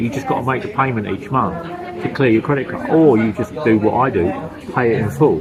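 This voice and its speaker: Over music in the background and audible room echo, a man talks at a fairly quick pace with lively intonation. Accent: British. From UK. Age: 60s. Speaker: vlogger, retired expat. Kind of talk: casual vlog monologue. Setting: eating lunch while filming. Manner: casual, conversational.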